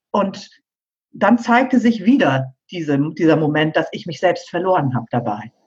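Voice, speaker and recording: This woman's fairly low, somewhat breathy voice moves through very wide pitch swings at a moderate pace. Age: 50s. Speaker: pianist and piano teacher. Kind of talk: interview.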